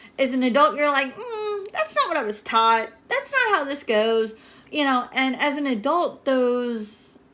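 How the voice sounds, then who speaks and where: This woman's voice sits high and is raised and projected. Her intonation is lively. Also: fairly slow pace. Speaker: network marketer giving motivational talk. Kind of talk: livestream motivational talk. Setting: home livestream.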